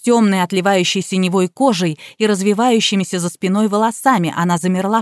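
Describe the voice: Simply plain reading aloud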